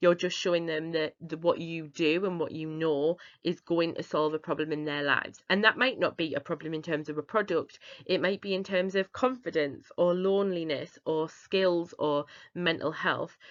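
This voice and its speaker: A woman speaks in a Northern English accent at a fairly low pitch, a moderate pace and with fairly even intonation. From northeast England. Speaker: business founder. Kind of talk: webinar presentation.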